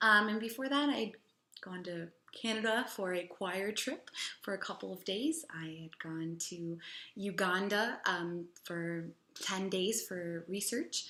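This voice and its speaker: Bright and sharp in tone, a woman with a Chicago accent speaks fairly slowly at a medium pitch with ordinary pitch variation. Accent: Chicago American English. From US Midwest, Chicago. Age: 20s. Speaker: English teacher. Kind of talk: personal testimonial.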